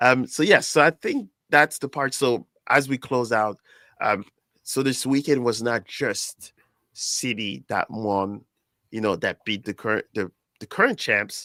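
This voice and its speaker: A man with a French accent, medium pitch and a bright, sharp tone, ordinary pitch variation, on a very clean recording with a silent background and a dry, close sound with no echo. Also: fairly slow pace. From France. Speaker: soccer podcast host. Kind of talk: casual chat.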